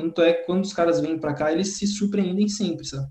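A dark, mellow tone carries the voice. Its intonation holds fairly even. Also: man. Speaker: professional tennis player. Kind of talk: interview.

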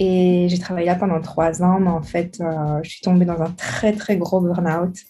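Background music is present. The speaking pace is fairly slow. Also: woman. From Belgium, Charleroi. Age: 20s. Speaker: writer. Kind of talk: interview.

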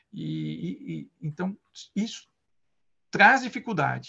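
A man talks at a very slow pace in a high voice with a bright, sharp tone. The background is quiet. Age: 50s. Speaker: Scrum Master. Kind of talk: interview. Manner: halting.

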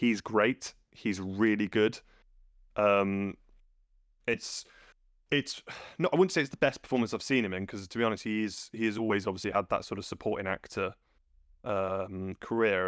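A man with an East Midlands accent speaks at a fairly quick pace and fairly low pitch, his intonation fairly even. The sound is dry and close with no echo, on a very clean recording with a silent background. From England, Loughborough. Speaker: film podcast co-host. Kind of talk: casual chat.

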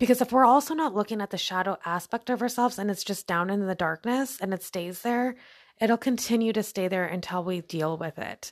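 A woman talks at a fairly quick pace and medium pitch, with ordinary pitch variation. The sound is very clean and dry, close with no echo against a silent background. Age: 30s. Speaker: podcast host. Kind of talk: casual monologue on self-development. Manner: halting, self-correcting.

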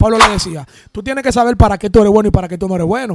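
A man speaks at a very fast pace with ordinary pitch variation. The sound is dry and close, with no echo. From Dominican Republic, San Pedro de Macorís. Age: 20s. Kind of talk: casual interview.

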